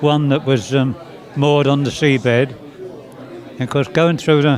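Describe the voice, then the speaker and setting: Noticeable noise sits behind a man's fairly high voice. His intonation stays fairly even. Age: 90s. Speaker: war veteran. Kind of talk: interview. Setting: museum interview. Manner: halting.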